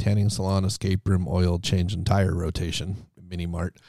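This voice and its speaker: On a very clean recording with a silent background, a man speaks at a moderate pace in a dark, mellow tone, fairly low in pitch. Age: 30s. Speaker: entrepreneur and Navy veteran. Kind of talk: casual chat.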